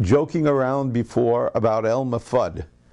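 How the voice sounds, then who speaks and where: A man speaks at a medium pitch. His tone is dark and mellow, with ordinary pitch variation. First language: Ladino. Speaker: cantor. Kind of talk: interview. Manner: halting.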